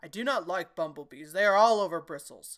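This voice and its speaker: On a very clean recording with a silent background, a woman does a put-on character voice at a medium pitch and a fairly quick pace. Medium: read story. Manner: smiling, repetitive.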